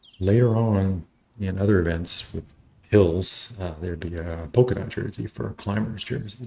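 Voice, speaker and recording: A man speaks with an American accent at a very deep, low pitch. His tone is dark and mellow, and somewhat breathy. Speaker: cycling race streamer. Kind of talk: live commentary. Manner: halting.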